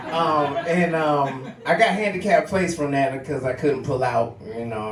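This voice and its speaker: A man talks at a moderate pace in a fairly high pitch, with lively intonation and hardly any pauses. His loudness swings widely, and the recording carries audible room echo and noticeable background noise. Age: 40s. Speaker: stand-up comedian. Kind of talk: stand-up. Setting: stage with audience.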